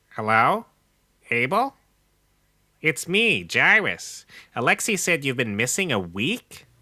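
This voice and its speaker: Using a put-on character voice at a medium pitch, a man speaks at a fairly slow pace with very wide pitch swings and long, frequent pauses. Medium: audio drama. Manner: formal, awkward.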